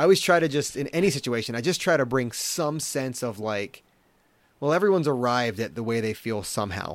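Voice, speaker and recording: In an unremarkable speaking voice, a man talks at a fairly quick pace with a medium pitch and lively intonation. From Maryland, US. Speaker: tech culture blogger. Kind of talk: casual chat.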